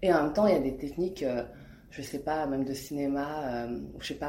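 A woman speaks at a fairly quick pace in a very deep, low pitch with a dark, mellow tone. Her pitch variation is ordinary, and there is audible room echo. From France. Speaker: artist and illustrator. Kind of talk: interview. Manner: hesitant, many fillers.

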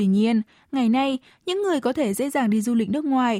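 In a dark, mellow tone pitched high, a woman talks fairly quickly with lively intonation on a very clean, silent-background recording that is dry and close with no echo. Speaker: radio host. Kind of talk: news reading, scripted radio presenting. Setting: studio. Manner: formal.

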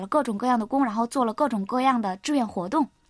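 A woman talks at a very fast pace. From China, Henan. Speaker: university student. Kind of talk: interview. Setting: studio.

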